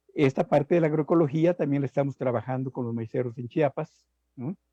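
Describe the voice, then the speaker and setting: A man talks at a medium pitch with a dark, mellow tone. The sound is dry and close, with no echo. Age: 70s. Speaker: agronomy professor. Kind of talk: live interview talk. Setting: live stream.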